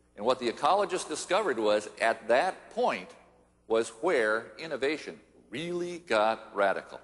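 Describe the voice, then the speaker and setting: A man talks at a moderate pace with a medium pitch. His pitch swings very widely. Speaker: futurist, keynote speaker. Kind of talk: conference keynote speech.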